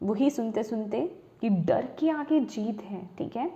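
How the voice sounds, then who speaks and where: A woman's high-pitched voice. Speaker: tarot reader. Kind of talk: tarot reading.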